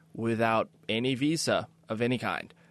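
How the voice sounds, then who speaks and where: The background is quiet as a man talks at a medium pitch. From US Midwest, Kansas City. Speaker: sailor and filmmaker. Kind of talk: interview.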